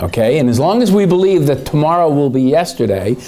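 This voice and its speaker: There is audible room echo and noticeable background noise. Through it, a man speaks with lively intonation. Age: 60s. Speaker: economist. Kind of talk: conference speech. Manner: hesitant, many fillers.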